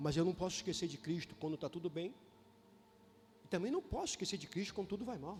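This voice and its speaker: Music runs behind a man with a high voice and ordinary pitch variation. He talks at a very fast pace but takes long, frequent pauses. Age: 60s. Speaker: bishop / preacher. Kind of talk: sermon. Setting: church. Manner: animated.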